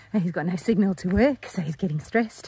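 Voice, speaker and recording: A woman's fairly quick speech with ordinary pitch variation, a dry sound with no echo and light background noise. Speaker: travel vlogger. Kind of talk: casual vlog chat. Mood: slightly worried, upbeat. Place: forest. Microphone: phone near.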